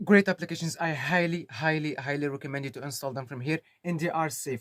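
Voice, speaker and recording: A man talks at a very fast pace in a Moroccan accent, his pitch fairly high. The sound is dry and close with no echo, and his pitch varies in an ordinary way. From Morocco. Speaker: tech tutorial YouTuber. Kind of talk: tutorial. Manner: casual, hesitant with fillers.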